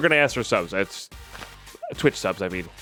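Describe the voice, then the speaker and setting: A man's mumbling at a fairly quick pace. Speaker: Minecraft streamer. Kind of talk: live stream chat with viewers. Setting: live stream.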